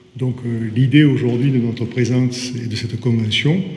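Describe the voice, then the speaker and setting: A man's medium-pitched voice in a Marseille accent, fairly slow and fairly even in intonation, with audible room echo. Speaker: port business association president. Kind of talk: formal speech at signing ceremony. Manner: hesitant, with fillers and repetitions.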